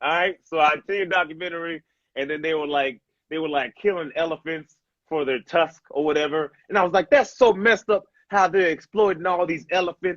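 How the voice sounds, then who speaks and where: Loud and energetic, a man talks at a fairly quick pace and a high pitch with ordinary pitch variation, in a dry, close sound with no echo against a quiet background. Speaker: stand-up comedian. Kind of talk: casual chat. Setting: video call. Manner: hyper, energetic.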